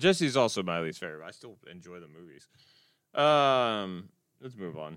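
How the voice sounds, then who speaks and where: Mumbling at a moderate pace, a man with a fairly low pitch makes very wide pitch swings and big swings in loudness. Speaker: podcast host. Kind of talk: casual chat. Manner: mumbles.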